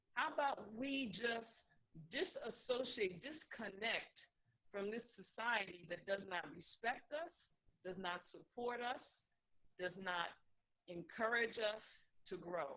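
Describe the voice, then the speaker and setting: With an American accent, a woman speaks at a very slow pace, her fairly high pitch carrying lively intonation. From New York. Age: 60s. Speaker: caller. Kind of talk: call-in discussion. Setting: phone call.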